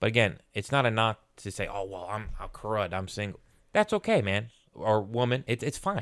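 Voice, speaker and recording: At a moderate pace, a man with a plain, everyday voice speaks at a fairly low pitch with fairly even intonation. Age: 30s. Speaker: podcast co-host. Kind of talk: casual chat.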